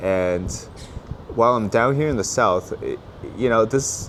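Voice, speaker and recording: Lively intonation marks a man's speech as noticeable background noise plays behind it. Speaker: political commentator and vlogger. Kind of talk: travel vlog commentary. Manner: halting, many fillers and restarts.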